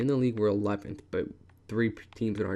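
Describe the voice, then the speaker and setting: At a fairly quick pace, a man speaks in a fairly low pitch with monotone, flat intonation. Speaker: video game commentator. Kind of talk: gameplay commentary. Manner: fast.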